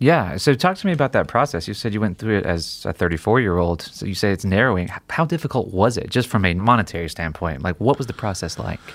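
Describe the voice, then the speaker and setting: A man speaks at a very fast pace with hardly any pauses. His fairly low voice makes very wide pitch swings. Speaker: podcast host. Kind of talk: casual interview.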